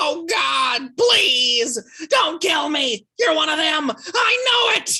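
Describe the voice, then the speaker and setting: A put-on character voice shouts at a high pitch with very wide pitch swings. The pace is very slow, yet there are hardly any pauses. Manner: exaggerated, theatrical.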